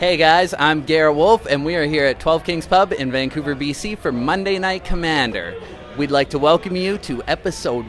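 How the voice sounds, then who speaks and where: A man with a fairly high voice talks at a medium tempo, his intonation lively, while music plays in the background. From northern Canada. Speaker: web show host. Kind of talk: show introduction. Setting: pub.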